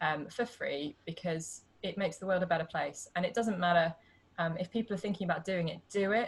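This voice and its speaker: A somewhat breathy woman with a British accent and medium pitch talks at a fairly quick pace with ordinary pitch variation. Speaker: pelvic health physiotherapist. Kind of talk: casual interview. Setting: video call.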